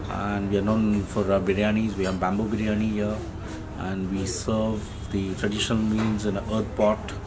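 Over music in the background, a man speaks at a moderate pace in a fairly low pitch with monotone, flat intonation. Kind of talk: interview answer. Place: cafe.

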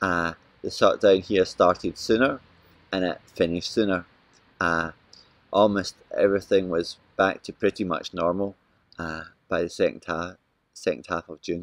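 A man with a Scottish accent speaks at a moderate pace with fairly even intonation and a very deep, low pitch. He takes long, frequent pauses, and the sound is dry with no echo. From Scotland. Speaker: missionary with a Bible translation organization. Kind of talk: video update to home church. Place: garden. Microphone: phone near.

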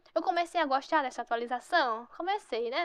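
An animated, high-pitched woman at a fairly quick pace with ordinary pitch variation against a quiet background. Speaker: gaming youtuber. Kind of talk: gameplay commentary.

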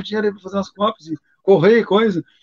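Over a quiet background, a man rattles along at a very fast pace in a high pitch. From Rio Grande do Sul, Brazil. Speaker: capoeira master and collector; interviewee. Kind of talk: casual chat. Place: home room. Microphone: video call.

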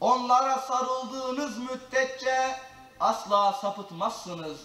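A man uses a raised, projected voice at an extremely high pitch with ordinary pitch variation. He talks at a very slow pace amid audible room echo. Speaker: Qur'an reciter and mosque lecturer. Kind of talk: religious lecture (sermon) in Turkish. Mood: solemn, measured. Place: church.

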